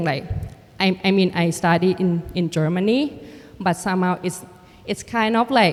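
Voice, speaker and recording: A woman's medium-pitched voice with a Thai accent at a moderate pace. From Thailand. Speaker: artist and filmmaker. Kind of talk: panel conversation. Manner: halting.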